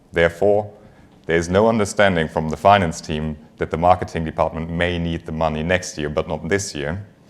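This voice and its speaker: Talking at a fairly quick pace, a man uses a very deep, low pitch with fairly even intonation. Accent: German. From Germany. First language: German. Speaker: finance executive. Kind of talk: conference talk. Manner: frequent filler words.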